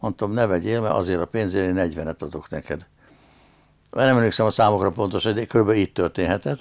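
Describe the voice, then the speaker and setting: Against a quiet background, a man with a fairly low pitch talks at a very fast pace with ordinary pitch variation. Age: 80s+. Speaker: dancer and businessman; interview guest, former actor. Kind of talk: interview. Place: studio.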